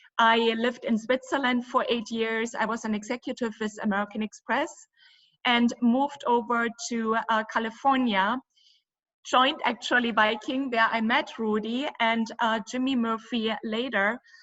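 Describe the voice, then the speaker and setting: With a German accent, a woman talks at a moderate pace in a fairly high pitch, keeping her intonation fairly even. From Germany. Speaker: cruise company owner. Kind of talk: interview.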